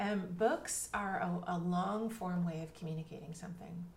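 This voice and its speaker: A woman with a fairly low voice talks at a moderate pace, with noticeable background noise and audible room echo. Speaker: literary agent and author coach. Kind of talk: casual interview.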